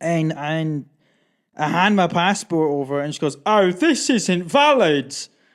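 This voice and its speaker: Speaking with a Scottish accent, a man with a high pitch sounds animated, with lively intonation. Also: fairly slow pace, very clean recording, silent background. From Scotland. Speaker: podcast host. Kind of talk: casual chat. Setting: studio.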